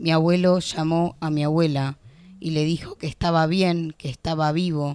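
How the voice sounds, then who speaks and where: In a Rioplatense accent, a woman speaks fairly slowly at a very deep, low pitch with monotone, flat intonation. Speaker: poet and law student. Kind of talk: spoken word poetry reading, narrative verse. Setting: radio studio. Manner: vivid, rhythmic, expressive storytelling.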